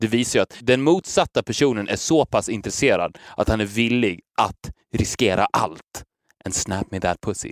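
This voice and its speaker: Here is a man with an unremarkable speaking voice at medium pitch. His intonation is lively and his pace moderate. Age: 30s. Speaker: podcast host. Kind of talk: casual chat.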